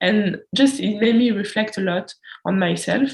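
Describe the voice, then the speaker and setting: A woman speaks in a somewhat breathy voice with a French accent. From France. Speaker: student podcast interviewer. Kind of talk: casual chat.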